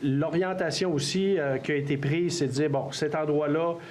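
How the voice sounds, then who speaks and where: Pitched fairly high for a man, this male speaker has a Quebec accent and fairly even intonation, with audible room echo and noticeable background noise. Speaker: mayor chairing council meeting. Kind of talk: public meeting Q&A. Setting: council hall with audience.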